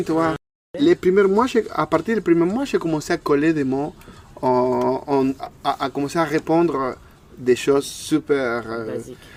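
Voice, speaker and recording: A man with an Argentine accent speaks at a fairly slow pace in a fairly high pitch, leaving long, frequent pauses. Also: ordinary pitch variation. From Argentina. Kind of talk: interview answer. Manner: hesitant, repeats words.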